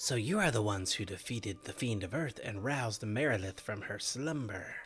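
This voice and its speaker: Putting on a character voice, a man talks at a fairly quick pace in a medium pitch. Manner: menacing, bad guy voice.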